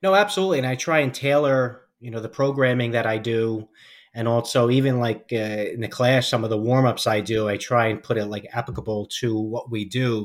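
Moving at a fairly quick pace, a man with an American accent uses a plain, everyday voice at medium pitch with ordinary pitch variation, on a very clean recording with a silent background. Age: 40s. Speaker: law enforcement officer and fitness coach. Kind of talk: interview podcast.

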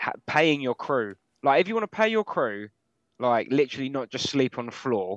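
With an English accent, a man speaks at a moderate pace in a dry, close sound with no echo. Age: 30s. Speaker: metal musician. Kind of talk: casual chat. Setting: video call.

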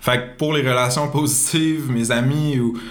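A man with a medium pitch speaks at a fairly slow pace and fairly even intonation, with audible room echo and noticeable background noise. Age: 20s. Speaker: entrepreneur. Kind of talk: interview. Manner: hesitant, many fillers.

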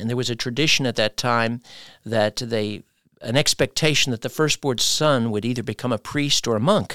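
A man with an ordinary speaking voice and an American accent, medium pitch, ordinary pitch variation and moderate pace, in a very clean recording with a silent background and a dry, close sound with no echo. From United States. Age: 60s. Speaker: pastor. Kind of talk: interview.

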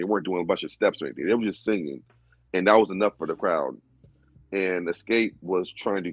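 Fairly quick and dry, a man's fairly low voice, a plain, everyday voice, comes close with no echo, ordinary pitch variation, and a quiet background. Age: 30s. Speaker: music producer. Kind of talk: casual chat.

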